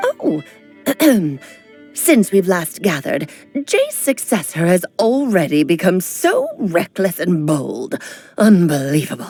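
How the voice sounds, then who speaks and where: A woman speaks in a put-on character voice at a medium pitch, at a fairly slow pace. Her long pauses come often, and faint music plays in the background. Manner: haughty, scolding.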